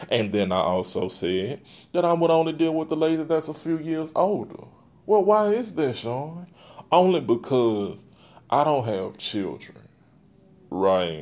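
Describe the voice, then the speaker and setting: A man with a fairly high pitch, very wide pitch swings and a fairly slow pace. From Texas. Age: 30s. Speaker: podcast host. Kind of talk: solo podcast monologue. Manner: casual, conversational.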